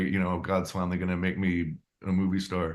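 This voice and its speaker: With an American accent, a man speaks very fast in a very deep, low voice. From California, USA. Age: 70s. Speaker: actor, writer and director. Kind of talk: interview answer.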